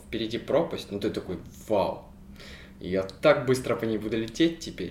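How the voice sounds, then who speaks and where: A man at medium pitch, somewhat breathy, with lively intonation. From Ukraine. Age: 20s. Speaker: podcast co-host. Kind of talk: casual chat.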